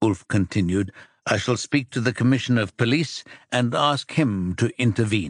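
The reading voice is unforced, and the background stays quiet.

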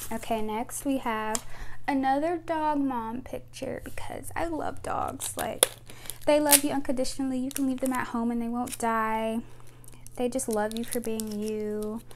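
Light background noise sits behind a high-pitched woman. She speaks at a fairly slow pace with fairly even intonation. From United States. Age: 20s. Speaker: YouTuber. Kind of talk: casual vlog talking to camera. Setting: at home with a microphone. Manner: rambling, chatty. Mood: relaxed, chatty. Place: home room. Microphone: lapel.

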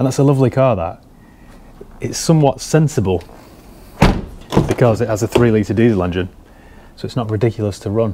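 A man talks at a fairly quick pace with ordinary pitch variation. Loud background noise fills the clip. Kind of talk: casual vlog chat. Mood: relaxed, enthusiastic. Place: shop. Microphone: phone near.

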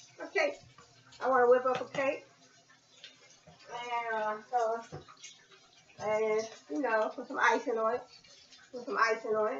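A woman's high-pitched voice, with fairly even intonation, carries audible room echo over light background noise. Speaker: home cook vlogger. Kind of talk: casual vlog chat. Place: kitchen. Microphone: webcam.

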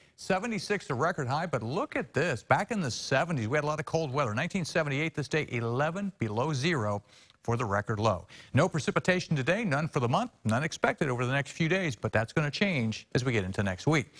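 A man's pitch swings very widely while the background stays quiet. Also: fairly quick pace. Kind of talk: weather forecast presentation. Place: studio. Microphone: lapel.

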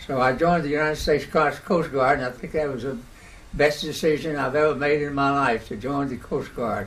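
A man speaks at a moderate pace. His pitch sits fairly high for a man. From American South. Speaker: World War II Coast Guard veteran. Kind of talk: oral history interview answer. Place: home room.

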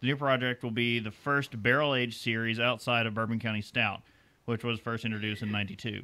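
The pace is fairly quick. The intonation stays monotone and flat. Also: man, medium pitch for a man. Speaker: beer podcast co-host. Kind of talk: casual chat.

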